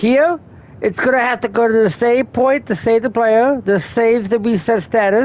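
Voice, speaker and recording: An unremarkable speaking voice from a woman, fairly high in pitch, with ordinary pitch variation, very even loudness and a moderate pace. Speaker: game tutorial creator. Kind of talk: tutorial.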